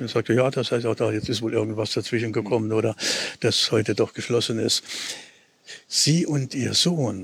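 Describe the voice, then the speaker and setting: A man talks in a mid-range pitch. Noticeable noise sits behind his voice. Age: 70s. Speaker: retired teacher. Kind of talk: conversational interview on a walk. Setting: outdoors, walking through city. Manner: halting, many fillers.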